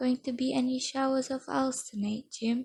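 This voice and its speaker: A soft-spoken woman talks at a moderate pace. Her tone is dark and mellow, with fairly even intonation. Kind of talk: audiobook-style reading of a novel aloud. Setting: home recording with added ambient background noises. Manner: soft-spoken, quiet.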